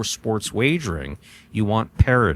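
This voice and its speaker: This is an ordinary speaking voice with an American accent and lively intonation. It moves at a moderate pace in a dry, close sound with no echo. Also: man. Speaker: jai-alai announcer / industry insider, podcast guest. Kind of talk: interview answer.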